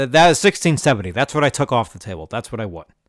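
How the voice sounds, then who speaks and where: Someone with a New York accent is heard in a very clean recording, silent in the background, with a dry, close sound and no echo. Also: man. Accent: New York area American. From New York, Rockland County. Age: 40s. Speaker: podcast host, poker player. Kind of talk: casual monologue storytelling.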